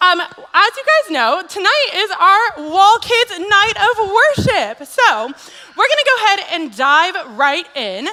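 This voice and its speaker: At a very slow pace, a woman with an extremely high pitch uses a raised, projected voice full of very wide pitch swings, over noticeable background noise. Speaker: children's ministry staff, special speaker. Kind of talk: addressing children at a church worship night. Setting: church kids' event, on mic, camera. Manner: animated, enthusiastic; loud.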